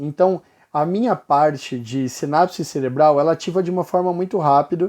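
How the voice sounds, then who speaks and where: A normal speaking voice at a moderate pace. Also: man, fairly high pitch for a man, ordinary pitch variation. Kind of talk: casual vlog monologue. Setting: bright lighting for video recording.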